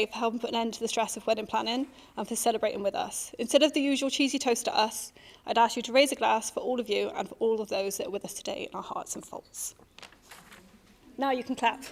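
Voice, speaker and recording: Over noticeable background noise, a woman with a West Country accent talks very fast in a fairly high pitch with ordinary pitch variation. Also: big swings in loudness. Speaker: giving a wedding speech. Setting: wedding reception.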